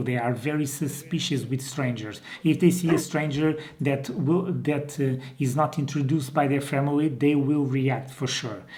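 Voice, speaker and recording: A man with a Portuguese accent, fairly high pitch and fairly even intonation at a fairly slow pace, amid noticeable background noise and audible room echo. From Portugal. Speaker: dog breeder and trainer. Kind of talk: informal video tutorial. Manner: hesitant, with many fillers and restarts.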